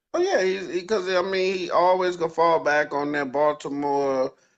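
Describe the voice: A man talks at a moderate pace in a fairly high pitch with ordinary pitch variation.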